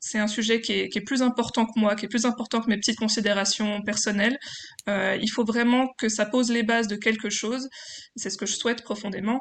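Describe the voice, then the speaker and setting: Speaking very fast, a woman has a fairly high pitch. Monotone, flat intonation runs through her delivery. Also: quiet background. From France, Franche-Comté (Besançon). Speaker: PhD student and French-as-foreign-language teacher. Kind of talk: interview testimony. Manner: hesitant.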